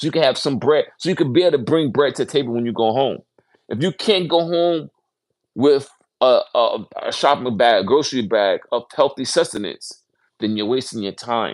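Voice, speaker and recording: Over a very clean recording with a silent background, a man with a fairly high pitch talks at a moderate pace with lively intonation. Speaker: livestream host reading a book aloud. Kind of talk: casual livestream talk. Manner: halting, stumbling.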